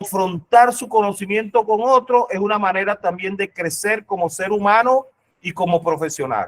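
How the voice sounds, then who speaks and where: A man with a high pitch and ordinary pitch variation talks at a moderate pace, the sound dry and close with no echo. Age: 50s. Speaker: researcher, online event participant. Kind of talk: panel discussion remarks. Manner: halting.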